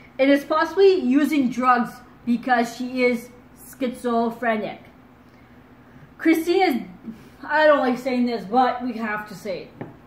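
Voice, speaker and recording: With long, frequent pauses, a woman speaks high-pitched at a fairly slow pace, and audible room echo surrounds her. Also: ordinary pitch variation. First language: French. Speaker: true crime YouTuber. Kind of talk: casual commentary and reading case details. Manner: halting, stumbles over words.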